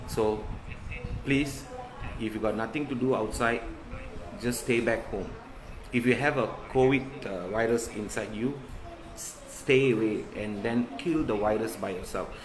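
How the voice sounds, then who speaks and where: Noticeable background noise and audible room echo surround a man with medium pitch. His intonation is fairly even, with long, frequent pauses. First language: not English. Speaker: covid survivor sharing his story. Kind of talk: live stream monologue. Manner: halting.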